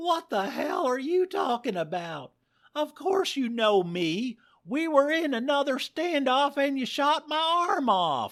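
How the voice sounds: In a put-on character voice, the speaker goes slowly with big pitch swings and a fairly bright tone. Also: man, extremely high pitch for a man.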